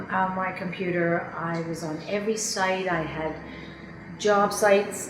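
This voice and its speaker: A woman speaks at a fairly slow pace with fairly even intonation and a medium pitch. The recording has audible room echo and noticeable background noise. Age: 50s. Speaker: job seeker, former advertising professional. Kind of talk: testimonial interview.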